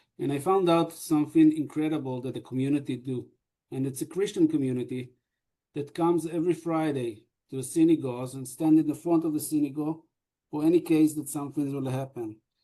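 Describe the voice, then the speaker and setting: Fairly high-pitched man with an Israeli accent, a dark, mellow tone, and a fairly quick pace. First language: Hebrew. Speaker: deputy mayor. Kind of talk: panel discussion. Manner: halting.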